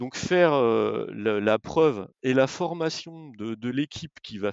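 A man at medium pitch, with lively intonation and a fairly slow pace. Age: 50s. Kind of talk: interview. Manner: hesitant, frequent repetitions.

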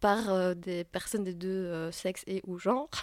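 A woman speaks at a moderate pace and medium pitch with fairly even intonation, in a very clean recording with a silent background and a dry, close sound with no echo. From Belgium. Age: 30s. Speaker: playwright and actress. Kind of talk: interview. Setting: at a theatre festival. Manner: hesitant with frequent fillers.

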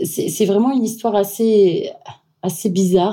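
A woman talks in a dark, mellow tone, her pitch varying in an ordinary way. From Syria and Austria. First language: not French (speaking French). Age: 30s. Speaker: wedding planner. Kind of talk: interview. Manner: halting.

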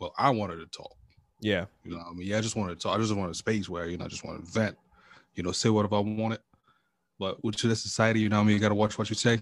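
A man's fairly low voice at a very fast pace, with fairly even intonation and big swings in loudness. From Cameroon. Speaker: podcaster and IT professional. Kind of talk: casual chat.

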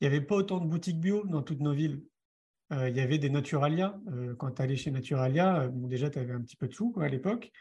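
At a very fast pace, a man speaks at a fairly high pitch with ordinary pitch variation, somewhat breathy and dark, mellow in tone. The background is quiet. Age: 40s. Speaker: author and film director, speaker. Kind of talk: interview. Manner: conversational, with fillers.

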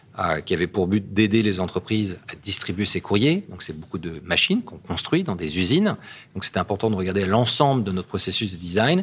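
A man with an unremarkable speaking voice talks fairly quickly at a fairly low pitch with ordinary pitch variation, in a very clean recording with a silent background. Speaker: company CEO. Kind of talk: interview.

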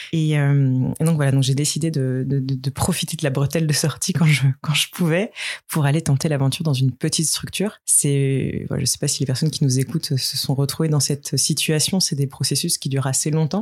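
Her voice very deep and low and somewhat breathy, a woman talks at a fairly quick pace with hardly any pauses, very even loudness and fairly even intonation. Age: 30s. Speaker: company executive. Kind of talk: interview. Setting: outdoors on a terrace.

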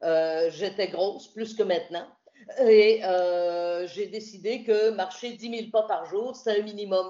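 The voice belongs to a woman. She talks at a medium pitch. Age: 60s. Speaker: radio host and journalist, retired. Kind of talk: interview about hiking pilgrimage.

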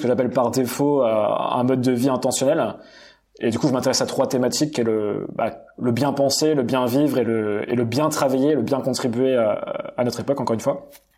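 Medium-pitched male voice at a moderate pace, with fairly even intonation, very even loudness and audible room echo. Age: 30s. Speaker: entrepreneur coach and content creator. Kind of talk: podcast interview. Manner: hesitant, repeats words.

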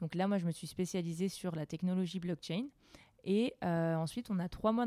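On a very clean recording with a silent background and a dry, close sound with no echo, a woman speaks at a moderate pace in a dark, mellow, fairly low voice with ordinary pitch variation. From Alsace, France. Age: 20s. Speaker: blockchain product owner. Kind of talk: interview.

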